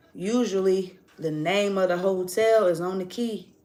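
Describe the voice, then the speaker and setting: An animated tone with audible room echo. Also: woman. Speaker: tarot reader. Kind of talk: casual monologue storytelling.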